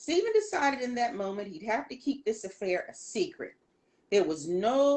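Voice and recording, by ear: A natural voice reading a text aloud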